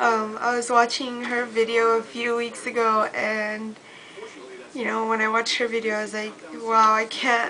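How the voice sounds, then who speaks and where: Fairly slow, monotone, flat delivery over noticeable background noise. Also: woman. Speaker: beauty vlogger. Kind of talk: casual talk to camera.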